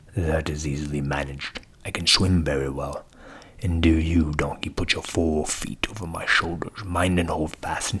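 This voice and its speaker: A man puts on a character voice pitched very deep and low. His speed is moderate. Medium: read story. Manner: bossy, boastful.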